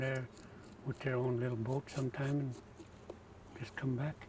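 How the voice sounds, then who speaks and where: A man at medium pitch, monotone and flat, with noticeable background noise. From Alaska, Kobuk River area. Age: 70s. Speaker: trapper and sled maker. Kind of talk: interview.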